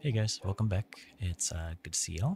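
Soft-spoken and somewhat breathy, a man talks in a dry, close sound with no echo. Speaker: gaming ASMR creator. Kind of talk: ASMR gaming commentary.

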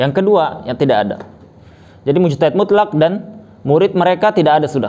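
A man is speaking. His tone is dark and mellow. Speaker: religious teacher. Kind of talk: lecture. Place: home room. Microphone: lapel.

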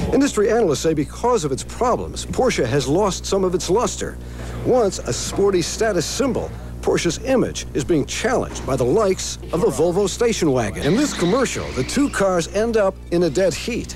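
Over music in the background, a man talks at a moderate pace with very even loudness. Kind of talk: TV news report.

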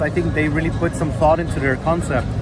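A man's voice comes through dry with no echo while clear music plays behind him. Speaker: food vlogger. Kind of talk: casual vlog review. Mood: mildly disappointed. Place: street. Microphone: phone near.

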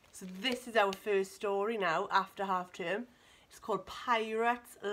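The text is read aloud in a natural voice. Its intonation stays fairly even.

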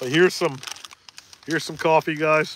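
A man speaks with a Maine accent in a bright, sharp tone. The sound is dry with no echo. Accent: mild Maine. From Maine, US. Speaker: fishing livestream host. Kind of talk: casual livestream chat. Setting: in a boat on a lake. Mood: relaxed, friendly. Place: boat. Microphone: phone near.

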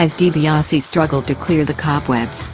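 A woman speaks at a very deep, low pitch with ordinary pitch variation. Her pace is moderate, and music plays in the background. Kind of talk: wrestling highlight recap narration.

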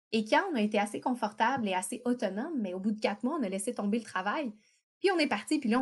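In a very clean recording with a silent background, a woman talks very fast in a somewhat breathy voice. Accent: Quebec. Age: 30s. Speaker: travel writer and entrepreneur. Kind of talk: interview.

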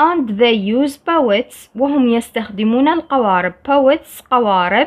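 With an Iraqi accent, a woman speaks very slowly in a high pitch with lively intonation. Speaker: English teacher. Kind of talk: tutorial.

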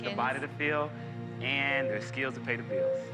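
Loud music plays in the background. A man talks at a moderate pace. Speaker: dating show contestant. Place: stage. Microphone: lapel.

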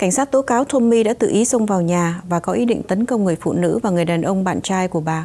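A woman with a dark, mellow tone, medium pitch, ordinary pitch variation and a fairly quick pace. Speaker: news anchor. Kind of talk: news reading. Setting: studio. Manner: formal.

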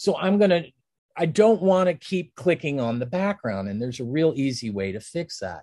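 Speaking with an American accent at a moderate pace, a man uses a dark, mellow tone, a fairly high pitch and very wide pitch swings. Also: quiet background. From Pennsylvania and Ohio, US. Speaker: design instructor. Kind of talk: tutorial. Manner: casual, with fillers and laughs. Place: home room.

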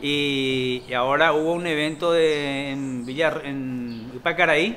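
Over faint background music, a man speaks with ordinary rises and falls in pitch. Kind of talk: interview answer.

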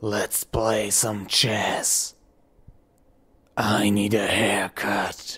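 In a raspy, put-on character voice, the speaker goes at a very slow pace with long, frequent pauses and a monotone, flat intonation. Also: man, fairly low pitch for a man. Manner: aggressive.

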